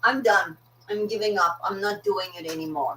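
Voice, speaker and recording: Against noticeable background noise, a woman with a fairly high pitch speaks with lively intonation. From South Africa. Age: 60s. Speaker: online business coach. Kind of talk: live stream motivational talk. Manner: animated.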